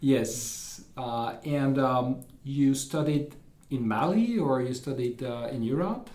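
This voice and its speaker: Speaking at a very slow pace, a man is heard with audible room echo and noticeable background noise. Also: medium pitch for a man, ordinary pitch variation. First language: French. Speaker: university administrator and podcast moderator. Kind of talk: interview. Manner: halting.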